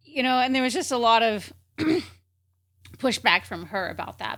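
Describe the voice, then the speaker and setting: A woman's voice sounds bright and sharp, with vocal fry. The recording is very clean, with a silent background. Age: 40s. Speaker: coach and author. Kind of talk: interview conversation.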